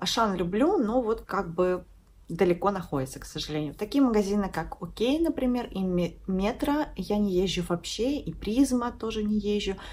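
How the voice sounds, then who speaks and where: A woman's voice at a moderate pace, with lively intonation. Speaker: lifestyle vlogger. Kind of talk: casual vlog chat. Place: home room. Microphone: phone near.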